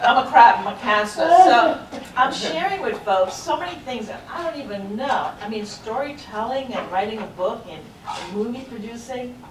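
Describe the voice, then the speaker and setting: An animated woman with an American accent, her loudness swinging widely amid audible room echo and noticeable background noise. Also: fairly high pitch for a woman, lively intonation, moderate pace. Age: 40s. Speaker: military veteran and lifestyle blogger. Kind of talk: panel discussion.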